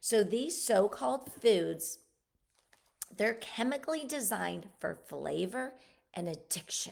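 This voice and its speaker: A woman's animated voice with vocal fry, medium in pitch with very wide pitch swings, at a fairly slow pace with long, frequent pauses. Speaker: podcast host. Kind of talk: casual monologue on health. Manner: animated, halting with self-corrections.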